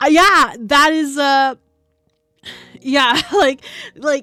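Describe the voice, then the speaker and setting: With music in the background, a woman with an American accent speaks in a raised, projected voice at a high pitch. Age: 30s. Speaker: streamer. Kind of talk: casual chat. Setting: live stream. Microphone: sits very close to mic.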